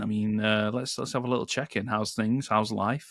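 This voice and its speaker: This is a very clean recording with a silent background. A man speaks with a British accent. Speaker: podcast co-host, Google Ads manager. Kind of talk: casual podcast chat.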